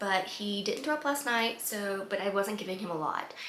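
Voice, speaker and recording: Amid noticeable background noise and audible room echo, a woman speaks at a medium pitch and a moderate pace with lively intonation. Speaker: lifestyle vlogger. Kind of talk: casual vlog talk. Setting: outdoors in garden.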